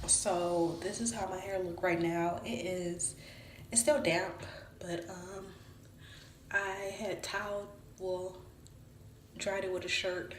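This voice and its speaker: Very slowly, a woman speaks with ordinary pitch variation. There is audible room echo and noticeable background noise. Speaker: hair vlogger. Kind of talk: casual vlog tutorial.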